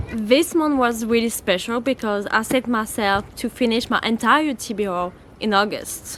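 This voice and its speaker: Someone speaks at a moderate pace with a French accent and ordinary pitch variation. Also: woman, fairly high pitch for a woman. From France. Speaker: book YouTuber. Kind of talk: casual vlog chat. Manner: animated.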